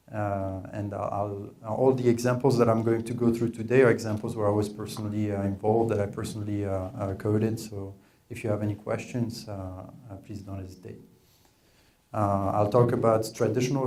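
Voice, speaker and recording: Speaking at a fairly quick pace with a French accent, this voice has monotone, flat intonation and audible room echo. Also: man. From France. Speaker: data scientist, workshop presenter. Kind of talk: technical presentation. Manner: hesitant, many filler words.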